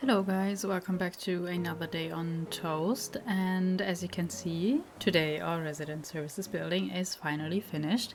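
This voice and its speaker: The speaker has a German accent and a relaxed tone. Pitch variation is ordinary, with hardly any pauses. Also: woman, fairly low pitch for a woman, moderate pace. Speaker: gaming youtuber. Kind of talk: gameplay commentary. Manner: relaxed, hesitant with fillers.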